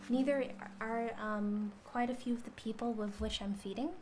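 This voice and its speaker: Here a woman speaks at a high pitch. Her voice is soft-spoken. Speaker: cooking vtuber streamer. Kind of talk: casual live stream chat while cooking. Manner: clear enunciation.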